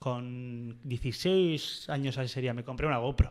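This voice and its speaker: With fairly even intonation and a fairly slow pace, a man speaks against a quiet background. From Basque Country, Oyarzun; Basque Country. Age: 20s. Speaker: surf photographer; podcast guest. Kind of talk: casual interview chat. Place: studio. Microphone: studio mic.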